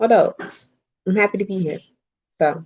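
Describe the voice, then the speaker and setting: An American accent from a woman, her pitch varying in an ordinary way. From New Jersey (Hillside). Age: 30s. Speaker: friend on livestream panel. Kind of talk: casual chat. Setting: live stream.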